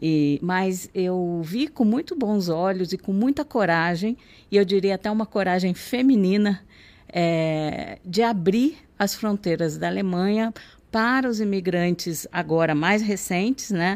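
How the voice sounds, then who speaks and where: On a very clean recording with a silent background, a woman speaks at a medium pitch and a fairly slow pace, with ordinary pitch variation. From Rio de Janeiro state, Brazil (Nova Iguaçu, Baixada Fluminense). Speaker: NGO country director. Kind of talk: interview. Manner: halting.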